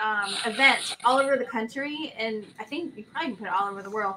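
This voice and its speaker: A woman's fairly quick speech with lively intonation and light background noise. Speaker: co-host, merch and membership helper; co-host. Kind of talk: casual chat. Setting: video call. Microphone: video call.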